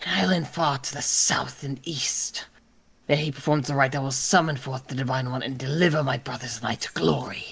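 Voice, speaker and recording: The speaker uses a put-on character voice pitched low to middle. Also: fairly quick pace. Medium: game stream. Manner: proud, zealous.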